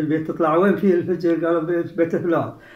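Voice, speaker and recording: The man's speech carries audible echo from the room. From Saudi Arabia, Al-Ahsa (Eastern Province). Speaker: heritage researcher and author. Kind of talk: interview.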